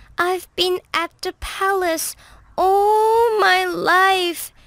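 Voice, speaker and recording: A woman's put-on character voice, raised and projected, extremely high in pitch, at a very slow pace with ordinary pitch variation. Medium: read story. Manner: eager, spirited.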